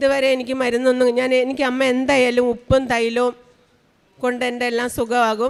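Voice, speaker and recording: A woman with a high pitch and monotone, flat intonation. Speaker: religious testimony giver, hospital worker. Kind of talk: testimony. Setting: church altar.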